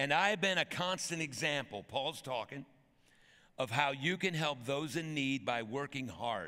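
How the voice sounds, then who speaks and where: Over a quiet background, a man with a bright, sharp tone talks at a moderate pace with ordinary pitch variation. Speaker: pastor. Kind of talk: sermon. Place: church. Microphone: headset.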